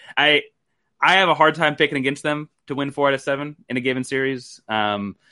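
Delivered at a fairly quick pace, this is an ordinary speaking voice with ordinary pitch variation. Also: man. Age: 30s. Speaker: basketball podcast host and writer. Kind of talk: casual chat.

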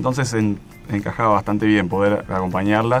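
A man speaks in a plain, everyday voice at a fairly low pitch. His pace is fairly quick and his intonation fairly even. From Argentina, Patagonia (Bariloche). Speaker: geologist. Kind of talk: radio interview. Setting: radio studio at Antarctic base.

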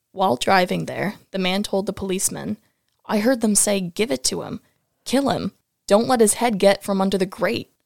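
Dry and close with no echo, this recording has a woman talking at a moderate pace in a medium pitch. She has an American accent and some vocal fry. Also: ordinary pitch variation. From upstate New York. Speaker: co-host, former student. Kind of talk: reading aloud.

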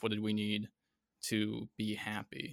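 A man talks with an American accent. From Connecticut. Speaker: Navy veteran. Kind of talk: interview. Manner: halting.

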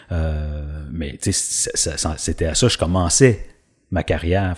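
A man speaks in a Quebec accent, somewhat breathy. The recording is very clean, with a silent background. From Quebec, Drummondville. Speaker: actor. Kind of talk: casual interview. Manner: halting, many repetitions.

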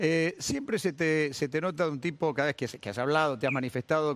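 A man with a Rioplatense accent speaks at a fairly quick pace and a fairly high pitch, with ordinary pitch variation. The recording is very clean with a silent background. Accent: Argentine Spanish (rioplatense). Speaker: sports radio host. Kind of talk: interview. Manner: halting.

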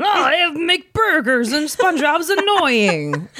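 At a fairly slow pace, a high-pitched put-on character voice carries the lines. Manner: gruff, mocking, annoyed.

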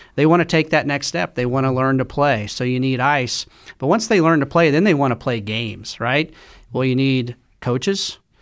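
A man with an American accent, an ordinary speaking voice at medium pitch, moderate pace and ordinary pitch variation, on a very clean recording with a silent background. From Oklahoma, Tulsa. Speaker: sports team executive. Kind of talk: interview. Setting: studio.

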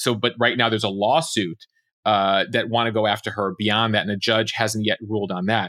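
On a very clean recording with a silent background, a man with a fairly low pitch talks fairly quickly in a bright, sharp tone with fairly even intonation. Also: dry, close sound with no echo. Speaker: news podcast host. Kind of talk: casual news rundown. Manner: loud.

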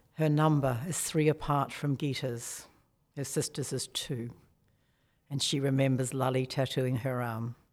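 With a New Zealand accent, a woman speaks at a fairly slow pace in a very deep, low, monotone voice on a very clean recording with a silent background. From New Zealand, small town. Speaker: author. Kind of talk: interview.

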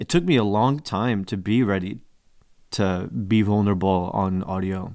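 A man speaks with an American accent and a normal speaking voice. His pace is fairly slow, his pitch varies in an ordinary way, and the recording is very clean with a silent background. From US Northeast, Newark, New Jersey. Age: 30s. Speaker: podcast host. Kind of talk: casual chat. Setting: studio.

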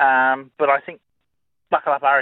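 A man speaks at a very fast pace with an Australian accent. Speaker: greyhound trainer or racing expert. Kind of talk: radio interview.

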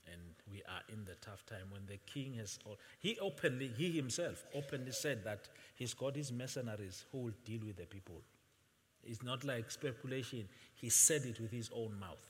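The voice is somewhat breathy with lively intonation. Its loudness swings widely. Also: man, medium pitch for a man, moderate pace. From Swaziland (Eswatini). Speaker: visiting pastor. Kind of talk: sermon. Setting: church with congregation. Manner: soft-spoken.

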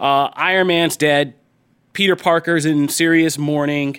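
The man has a plain, everyday voice with a fairly high pitch. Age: 30s. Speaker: podcast host. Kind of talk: casual chat.

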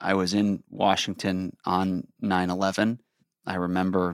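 A man with a very deep, low pitch and a Chicago accent, monotone and flat, on a very clean recording with a silent background. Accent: Chicago American. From US Midwest, Chicago. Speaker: security organization director. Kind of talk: interview. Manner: hesitant fillers.

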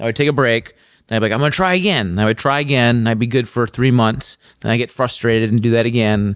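At a very fast pace, a man with an American accent speaks at medium pitch with ordinary pitch variation and very even loudness, on a very clean recording with a silent background. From Minnesota, US Midwest. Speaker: motorcycle journalist. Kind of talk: casual chat.

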